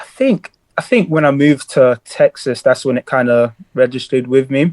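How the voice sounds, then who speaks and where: A man's fairly high voice at a moderate pace, with fairly even intonation and a dry, close sound with no echo. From US South (Atlanta and Houston) then London. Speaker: basketball player. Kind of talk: podcast interview.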